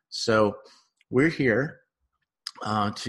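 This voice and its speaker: A man's fairly low voice with lively intonation, an unremarkable speaking voice over a quiet background. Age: 50s. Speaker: relationship psychotherapist and podcast host. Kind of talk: solo podcast monologue. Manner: casual with frequent fillers.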